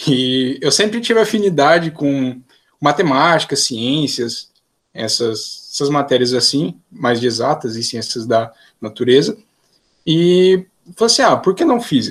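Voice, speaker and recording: Pitch swings very widely as a man with a fairly high voice speaks at a fairly slow pace. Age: 20s. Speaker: physics student. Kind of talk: casual interview.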